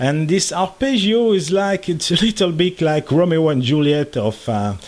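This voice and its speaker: This man talks at a moderate pace with a fairly high pitch, his loudness very even while his pitch swings very widely. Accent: French. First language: French. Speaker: electronics hobbyist YouTuber. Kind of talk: tutorial. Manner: halting, many fillers.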